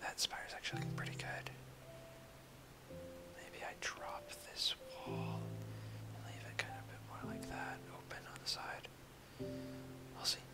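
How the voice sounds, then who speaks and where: Loud music plays in the background as a soft-spoken voice talks at a fairly slow pace. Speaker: gameplay narrator. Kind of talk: casual gameplay commentary, soft-spoken ASMR. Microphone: studio mic.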